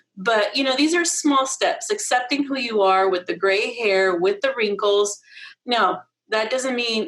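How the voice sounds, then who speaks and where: A woman's fairly slow, lively-toned delivery in a normal speaking voice. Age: 50s. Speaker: health clerk and model, live hangout guest. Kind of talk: casual chat. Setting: livestream video hangout.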